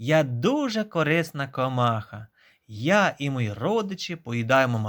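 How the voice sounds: Text read in a natural voice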